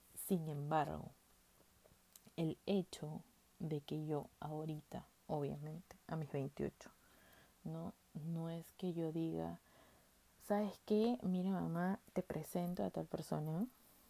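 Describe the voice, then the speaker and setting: At a very slow pace with long, frequent pauses, a woman speaks in a very deep, low voice with a dark, mellow tone and ordinary pitch variation. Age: 20s. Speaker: podcast host. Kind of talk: casual monologue.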